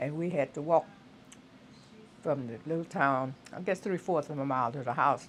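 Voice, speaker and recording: With a Southern Louisiana accent, a woman with a very deep, low voice talks at a moderate pace with ordinary pitch variation and long, frequent pauses. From US South, southwest Louisiana. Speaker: retired teacher. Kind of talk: oral history interview. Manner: halting.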